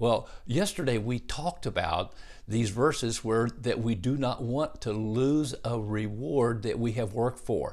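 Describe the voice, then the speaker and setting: At a fairly slow pace, a man talks in a normal speaking voice. His medium pitch shows ordinary variation. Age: 60s. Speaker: pastor. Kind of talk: sermon.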